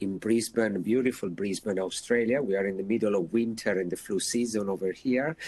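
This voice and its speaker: The voice carries an Italian accent. The sound is dry and close, with no echo. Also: man. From Italy. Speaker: intensive care doctor. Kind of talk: lecture. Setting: video webinar. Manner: hesitant, many fillers.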